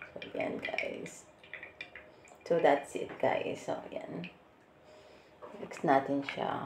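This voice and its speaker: Very slow speech amid noticeable background noise. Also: woman. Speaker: vlogger. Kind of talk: product demo vlog. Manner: casual, chatty.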